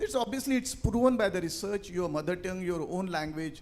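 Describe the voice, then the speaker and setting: A man speaks at a fairly quick pace with an Indian accent, his high pitch carried by lively intonation. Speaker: panelist, finance leader and author. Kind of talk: panel discussion.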